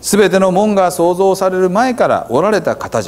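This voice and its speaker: The voice belongs to a man with a Hiroshima accent. His pitch is high. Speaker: pastor. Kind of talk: scripture reading in Hiroshima dialect. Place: church. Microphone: lapel.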